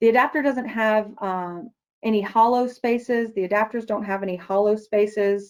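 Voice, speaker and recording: With a quiet background behind her, a woman speaks at a moderate pace with ordinary pitch variation. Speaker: product manager presenting a product; presenter. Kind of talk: webinar presentation; answering audience questions. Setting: online webinar. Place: office. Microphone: webcam.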